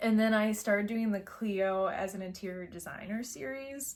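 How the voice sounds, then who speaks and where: A woman's medium-pitched voice with a Midwestern accent, in a very clean recording with a silent background. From US Midwest. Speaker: pet content creator. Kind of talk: casual chat.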